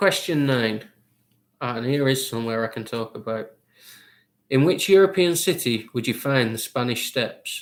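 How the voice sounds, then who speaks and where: A man with a northern English accent speaks at a medium pitch. He keeps a moderate pace, with long, frequent pauses. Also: lively intonation. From Lancashire, northern England. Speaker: quizmaster. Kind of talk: online charity quiz hosting.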